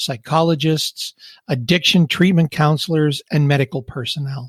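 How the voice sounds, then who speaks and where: A man's somewhat breathy, fairly high voice with fairly even intonation, in a dry, close sound with no echo. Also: moderate pace. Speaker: podcast host. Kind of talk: podcast intro narration.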